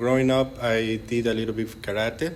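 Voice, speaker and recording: The speaker has a Mexican accent and a moderate pace. Noticeable background noise can be heard. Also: man. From Mexico, Monterrey. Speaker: jiu-jitsu coach. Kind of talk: podcast interview.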